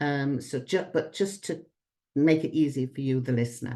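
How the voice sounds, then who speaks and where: A woman speaks with a British accent at a very deep, low pitch. Her pace is moderate and her intonation fairly even. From Britain. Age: 70s. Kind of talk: conference talk.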